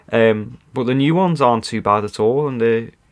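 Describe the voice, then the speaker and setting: A man uses an unremarkable speaking voice, pitched medium and delivered at a moderate pace. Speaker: podcast host. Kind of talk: casual chat.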